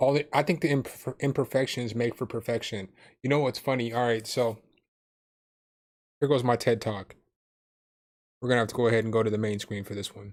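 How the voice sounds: A man speaks at a medium pitch with a slightly mellow tone and fairly even intonation. His pace is fairly quick despite long, frequent pauses, on a very clean recording with a silent background.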